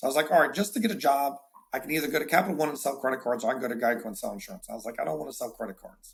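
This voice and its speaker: Talking very fast with an American accent, a man's fairly high voice has lively intonation and big swings in loudness. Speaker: insurance agency owner. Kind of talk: casual interview. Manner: animated, repeats words often.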